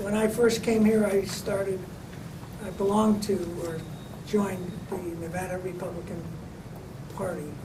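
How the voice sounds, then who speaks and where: A man's high voice in a flat monotone at a moderate pace, with long, frequent pauses, audible room echo and noticeable background noise. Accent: American. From US Midwest, Wisconsin and Illinois (Chicago). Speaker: lawyer. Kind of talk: interview.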